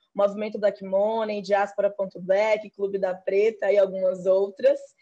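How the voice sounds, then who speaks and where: A woman with a Bahian accent speaks at a moderate pace, her fairly high pitch set in a dark, mellow tone. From Bahia, Brazil. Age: 30s. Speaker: programmer and programming teacher. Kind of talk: panel discussion.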